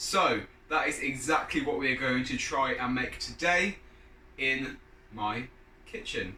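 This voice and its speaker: A man with a British accent at a medium pitch, his intonation lively, with audible room echo and noticeable background noise. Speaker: fitness YouTuber, personal trainer. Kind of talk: cooking tutorial. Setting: home kitchen. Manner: casual, chatty.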